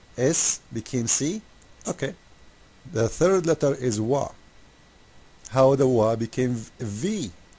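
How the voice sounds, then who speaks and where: Speaking with an Arabic accent, a man uses lively intonation and a medium pitch at a very slow pace, with long, frequent pauses. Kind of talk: casual commentary video. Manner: animated; halting.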